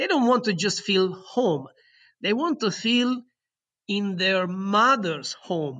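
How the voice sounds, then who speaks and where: Against a quiet background, a man with an Italian accent projects a raised voice at a fairly slow pace, his high pitch, bright, sharp tone and lively intonation all standing out. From southern Italy. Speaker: resort general manager. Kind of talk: interview. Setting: remote call. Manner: halting, many fillers and repetitions.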